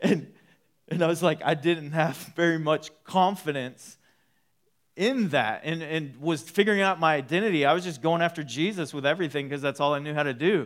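In a very clean recording with a silent background, a man with an ordinary speaking voice and an American accent talks at a fairly quick pace, his fairly high pitch showing ordinary variation. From Texas (Waco). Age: 30s. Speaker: pastor. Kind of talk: sermon. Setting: church.

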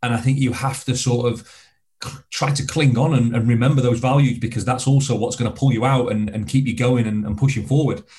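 A man with a Lancashire accent talks at a fairly quick pace in a medium-pitched, somewhat breathy voice with a dark, mellow tone, fairly even intonation and audible room echo. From northern England, Blackpool, Lancashire. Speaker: former soldier and extreme adventurer. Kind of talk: interview conversation.

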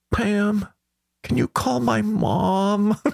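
A put-on character voice at a middle pitch. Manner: whiny, pathetic.

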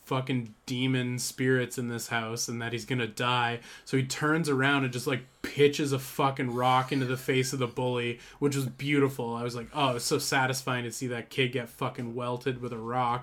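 A man's playful tone in monotone, flat intonation, with hardly any pauses. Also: medium pitch for a man, moderate pace. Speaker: podcast host. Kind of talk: casual banter podcast. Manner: joking, playful.

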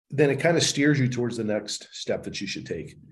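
Ordinary pitch variation runs through the speech. It comes from a man with a somewhat breathy voice. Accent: American. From US, Baltimore. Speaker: real estate investor and speaker. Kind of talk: interview, casual storytelling.

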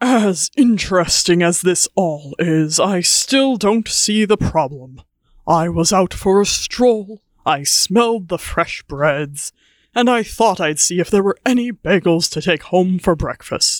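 A man's put-on character voice, high in pitch with lively intonation at a fairly slow pace, on a very clean recording with a silent background and a dry, close sound with no echo. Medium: audio drama. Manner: haughty, condescending.

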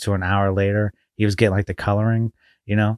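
A man speaks very fast with a fairly low pitch and fairly even intonation. The recording is very clean, dry and close, with a silent background and no echo. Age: 30s. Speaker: podcast co-host. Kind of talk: casual chat.

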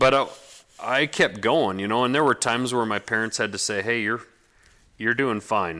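The tone is bright and sharp, with ordinary pitch variation at a moderate pace. Long, frequent pauses break it up, on a very clean recording with a silent background. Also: man, medium pitch for a man. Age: 30s. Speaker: bladesmith. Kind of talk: casual interview.

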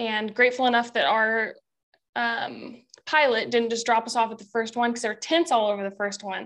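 A woman with a plain, everyday voice and an American accent, fairly high in pitch, at a moderate pace over a quiet background. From Oregon. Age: 20s. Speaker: bowhunter and outdoor content creator. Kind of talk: casual chat.

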